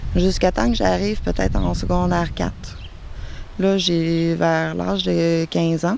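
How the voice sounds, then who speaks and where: A woman with a Quebec accent speaks very slowly in a very deep, low voice, with very wide pitch swings, very even loudness, and long, frequent pauses. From Quebec City. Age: 30s. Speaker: guest living with bipolar disorder. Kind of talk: testimony. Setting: outdoors in a garden.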